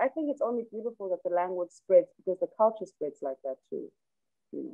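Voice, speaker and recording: A woman's voice sits fairly high in pitch. She speaks with a South African accent. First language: Xhosa. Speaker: rapper. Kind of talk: interview.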